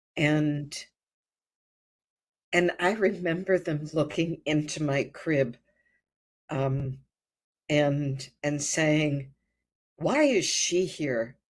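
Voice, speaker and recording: With a Midwestern American accent, a woman speaks at a very slow pace, leaving long, frequent pauses. Her pitch is very deep and low, with ordinary variation. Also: very clean recording, silent background. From US Midwest (rural Ohio). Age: 70s. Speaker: birth and hypnosis retreat leader. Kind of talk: life story interview. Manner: halting, frequent fillers and repetitions.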